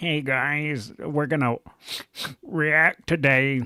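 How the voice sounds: Using a put-on character voice, a man speaks very slowly in a nasal, fairly high pitch with fairly even intonation, the sound dry and close with no echo.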